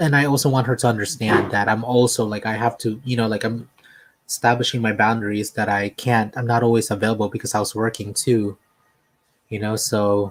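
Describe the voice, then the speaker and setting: Soft-spoken and fairly quick, a man talks at a medium pitch with fairly even intonation. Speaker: livestream host. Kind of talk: casual chat. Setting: home livestream.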